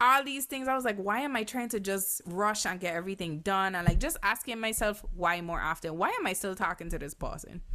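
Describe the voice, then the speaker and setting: Amid noticeable background noise, a woman talks at a fairly quick pace with lively intonation and hardly any pauses. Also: medium pitch for a woman. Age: 30s. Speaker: podcast co-host. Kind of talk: casual chat.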